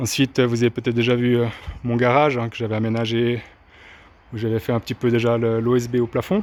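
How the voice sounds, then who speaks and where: A man with a medium-pitched voice moves along fairly quickly, his intonation fairly even. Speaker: vlogger renovating his house. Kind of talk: casual video tour. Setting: walking tour indoors and outdoors. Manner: halting, many hesitations (euh).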